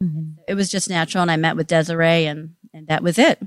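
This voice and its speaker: With an ordinary speaking voice, a woman talks at a fairly low pitch and fairly quick pace with fairly even intonation. The recording is very clean, the background silent. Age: 50s. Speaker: esthetician. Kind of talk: interview.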